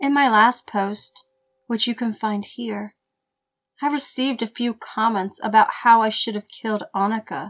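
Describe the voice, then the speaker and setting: A woman talks at a moderate pace in a somewhat breathy voice. Her intonation is fairly even, and the sound is dry and close with no echo. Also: fairly high pitch for a woman. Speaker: horror story narrator. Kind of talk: horror story narration.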